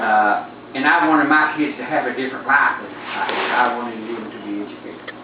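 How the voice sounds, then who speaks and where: Moderate-paced speech in an Appalachian accent, with audible room echo and noticeable background noise. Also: man. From Appalachia, West Virginia / Buchanan County, Virginia. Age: 60s. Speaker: interviewee, Appalachian resident. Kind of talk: interview. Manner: halting.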